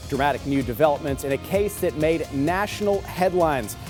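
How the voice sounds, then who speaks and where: With music in the background, a man talks in a fairly high register. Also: ordinary pitch variation. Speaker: TV news anchor and reporter. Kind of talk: studio news anchor read.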